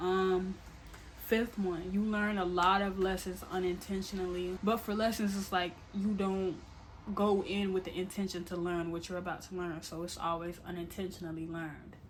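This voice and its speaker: Audible room echo surrounds a woman whose medium-pitched voice holds a monotone, flat intonation. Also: moderate pace. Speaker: YouTuber. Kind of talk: casual vlog monologue. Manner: stuttering, filler-heavy.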